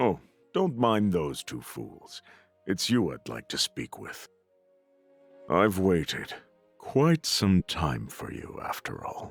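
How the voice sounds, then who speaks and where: Putting on a character voice, a man speaks calmly at a fairly low pitch and a fairly slow pace, with long, frequent pauses and faint music in the background. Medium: game stream. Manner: calm, condescending.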